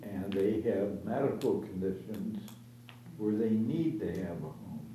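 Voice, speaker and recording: Over noticeable background noise and audible room echo, a man with a fairly low voice speaks fairly slowly with ordinary pitch variation. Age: 70s. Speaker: senior resident, formerly homeless. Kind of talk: public meeting discussion.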